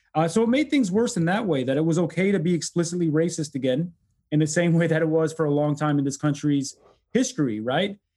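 Very fast and lively in intonation, a man with an American accent speaks in a dark, mellow tone at a fairly high pitch, with very even loudness. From US Midwest, Detroit. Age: 40s. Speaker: law professor and author. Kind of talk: interview.

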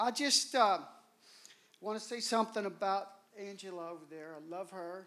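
A man speaks at a moderate pace in a raised, projected voice with a bright, sharp tone and a high pitch. His pitch varies in an ordinary way, his loudness swings widely, and he takes long, frequent pauses. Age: 60s. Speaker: guest preacher. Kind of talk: sermon. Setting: church. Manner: animated.

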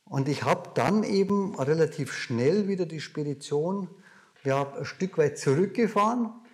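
This voice has a Bavarian accent and lively intonation. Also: man, high pitch for a man. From Bavaria, near Munich. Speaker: dividend investor and seminar speaker. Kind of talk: interview conversation.

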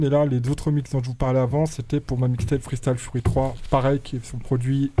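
Noticeable background noise runs through the clip. The man's intonation stays fairly even. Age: 40s. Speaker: radio DJ and rapper. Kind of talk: casual chat. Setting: studio.

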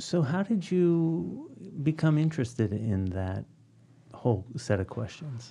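At a fairly slow pace, a man with an American accent speaks in a medium pitch, dark, mellow and somewhat breathy, with very wide pitch swings. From Philadelphia, US. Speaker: podcast host, university dean. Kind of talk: interview; scripted intro. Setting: studio.

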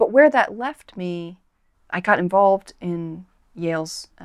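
This is an unremarkable speaking voice with an American accent. Its pitch variation is ordinary. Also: woman, very clean recording, silent background. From United States. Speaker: author. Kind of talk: interview.

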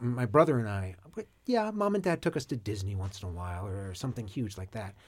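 Recorded very cleanly with a silent background, a man speaks with lively intonation and a somewhat breathy sound. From Maine. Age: 30s. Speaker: furniture maker. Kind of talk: casual chat. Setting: studio. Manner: halting.

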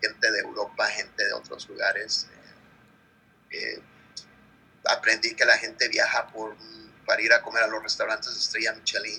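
The man speaks at a moderate pace. His pauses are long and frequent. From Mexico, Guerrero. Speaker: chef. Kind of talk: interview. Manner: halting, with fillers.

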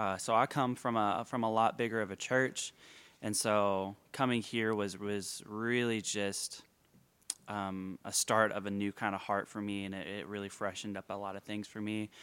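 In a very clean recording with a silent background, a man talks at a moderate pace in a monotone, flat delivery. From Northwest Arkansas. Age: 20s. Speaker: church worship staff. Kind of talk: casual chat. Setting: church worship center.

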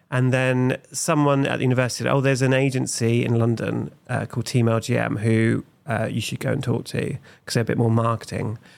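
A man with an East Anglian accent, medium-pitched, fairly quick and fairly even in intonation, on a very clean recording with a silent background. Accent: English (East Anglia). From England, Suffolk (Felixstowe). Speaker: comedian and creative director. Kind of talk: casual chat.

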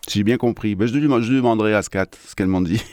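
A medium-pitched man with a French accent and ordinary pitch variation, over a quiet background. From France (Strasbourg, Alsace). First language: French (speaking Spanish). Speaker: radio host. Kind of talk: radio music show presenting. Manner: casual and animated.

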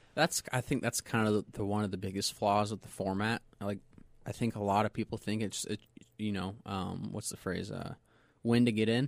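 In a normal speaking voice, a man with an American accent talks at a moderate pace, fairly low-pitched and fairly even in intonation, the sound dry and close with no echo. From US West (Southern California, Inland Empire). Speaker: race car driver. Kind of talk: interview. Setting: studio.

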